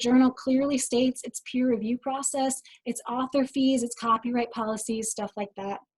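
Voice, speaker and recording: Her high pitch comes with a dark, mellow tone, and the woman's sound is dry and close with no echo. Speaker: information specialist giving a webinar. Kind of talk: webinar presentation. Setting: online webinar. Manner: fast.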